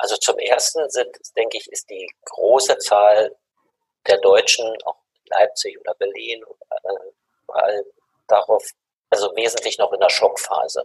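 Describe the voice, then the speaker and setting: The speaker keeps a moderate pace with long, frequent pauses and big swings in loudness. The sound is dry and close, with no echo. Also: man. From Germany. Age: 60s. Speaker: mediation expert and university head. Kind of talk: interview.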